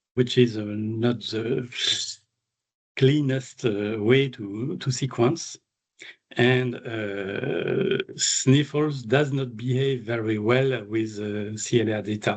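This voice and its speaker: Speaking very slowly with a French accent, a man keeps a medium pitch and ordinary pitch variation. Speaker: animal geneticist, invited speaker. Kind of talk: Q&A discussion after a seminar talk. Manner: halting with many fillers.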